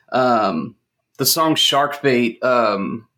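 Vocal fry runs through this man's medium-pitched voice, which carries an American accent. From North Texas, Fort Worth area. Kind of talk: casual chat. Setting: online remote recording.

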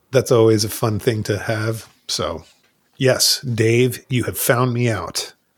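Somewhat breathy, a man talks at a very slow pace with fairly even intonation. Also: medium pitch for a man. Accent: American. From New Jersey. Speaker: rock band lead singer. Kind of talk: casual chat.

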